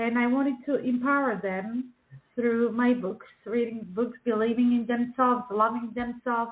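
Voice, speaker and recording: A woman at fairly high pitch with a Czech accent, speaking at a fairly slow pace. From Czechoslovakia. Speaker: children's book author and illustrator. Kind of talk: radio interview. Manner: halting, many fillers.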